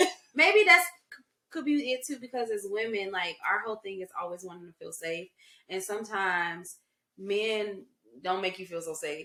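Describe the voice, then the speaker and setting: A woman with a plain, everyday voice, medium pitch, lively intonation, big swings in loudness and a moderate pace. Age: 30s. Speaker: podcast co-host. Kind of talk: casual chat.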